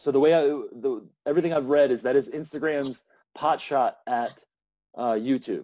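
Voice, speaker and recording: A man's fairly high voice carries a dark, mellow tone and fairly even intonation. The background is quiet. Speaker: podcast host. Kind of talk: casual interview. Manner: fast.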